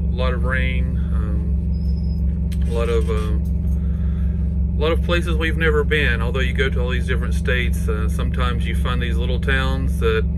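Music plays in the background as a man speaks. He keeps a moderate pace with hardly any pauses. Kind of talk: casual vlog chat. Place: home room. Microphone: phone near.

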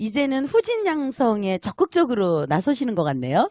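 A woman's voice with very wide pitch swings, dry and close with no echo, against a quiet background. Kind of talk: casual interview chat. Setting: market radio broadcast.

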